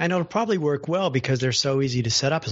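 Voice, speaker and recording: Lively intonation marks this man's very fast speech. There is some breathiness in his voice. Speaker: accessibility podcaster. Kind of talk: casual panel discussion.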